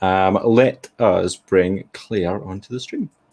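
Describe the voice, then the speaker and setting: On a very clean recording with a silent background, a man with a Glaswegian accent speaks with ordinary pitch variation. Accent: Glaswegian Scottish. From Scotland, Glasgow. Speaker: event host. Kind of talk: casual chat.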